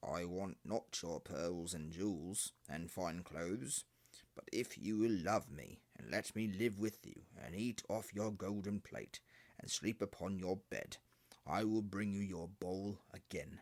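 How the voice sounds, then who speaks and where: This is a raspy, put-on character voice. It moves at a fairly slow pace. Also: man, fairly low pitch for a man. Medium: read story. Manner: persistent.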